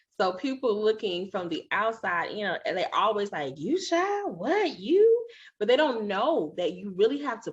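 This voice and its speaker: With an animated tone and very wide pitch swings, a woman speaks at a moderate pace against a quiet background. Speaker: podcast host. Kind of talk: interview.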